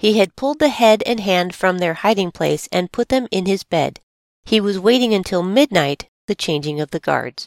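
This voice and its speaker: Recorded dry and close with no echo, a woman talks at a moderate pace with lively intonation. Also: medium pitch for a woman. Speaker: podcast host and storyteller. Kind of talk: true-crime narration. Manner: measured, dramatic storytelling.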